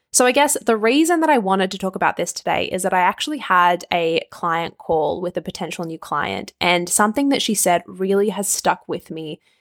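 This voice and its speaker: A woman with an Australian accent speaks at a medium pitch and a fairly quick pace. The sound is dry and close with no echo, on a very clean recording with a silent background. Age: 20s. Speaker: nutrition and life coach, podcast host. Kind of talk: solo podcast monologue. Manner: animated.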